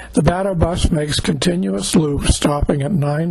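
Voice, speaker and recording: Noticeable background noise and audible room echo surround a man whose fairly high voice shows ordinary pitch variation. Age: 80s+. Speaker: travel vlogger narrating trip video. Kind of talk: scripted narration. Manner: measured, read-aloud pace.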